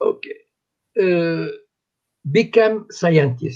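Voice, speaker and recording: A man speaks very slowly. There is vocal fry in his voice. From Morocco. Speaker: activist. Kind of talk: interview. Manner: halting.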